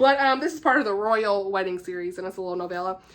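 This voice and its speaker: A woman's voice with a Southern US accent at a very fast pace, with ordinary pitch variation against a quiet background. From US South. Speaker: book YouTuber. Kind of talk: casual chat. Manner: animated.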